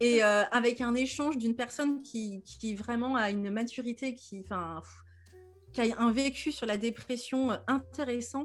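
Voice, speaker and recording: Her pitch shows ordinary variation. The woman talks at a very slow pace. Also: fairly high pitch for a woman, very clean recording, silent background. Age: 30s. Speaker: depression coach and podcaster. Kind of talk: casual interview. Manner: animated, with frequent laughter.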